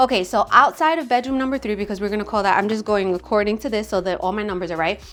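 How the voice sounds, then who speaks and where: A woman with an American accent, medium pitch, an animated tone, ordinary pitch variation and a very fast pace, over music in the background. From Staten Island, New York. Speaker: real estate agent. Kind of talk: home tour walkthrough.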